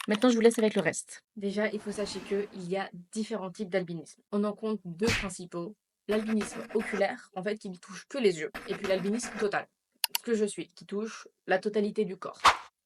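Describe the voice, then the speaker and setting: A woman with a normal speaking voice talks at a fairly quick pace and medium pitch, with fairly even intonation and big swings in loudness, in a dry, close sound with no echo. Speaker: YouTuber. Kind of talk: personal vlog. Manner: casual.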